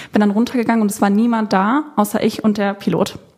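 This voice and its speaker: A woman's fairly high voice with fairly even intonation over noticeable background noise. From Germany, Cologne. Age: 20s. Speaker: content creator and former flight attendant. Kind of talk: casual chat.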